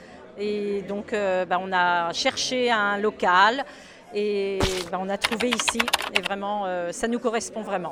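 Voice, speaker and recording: A woman speaks at a very slow pace and a medium pitch. Her intonation is fairly even, with noticeable background noise behind her. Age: 60s. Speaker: shop founder and seamstress. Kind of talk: interview. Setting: in a shop. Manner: hesitant, many fillers.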